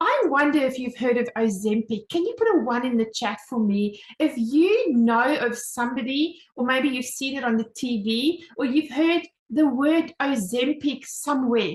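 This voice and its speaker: Speaking with hardly any pauses, a woman with a South African accent sounds animated, using a high pitch, ordinary pitch variation, and a moderate pace. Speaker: home business mentor, presenter. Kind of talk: online sales presentation.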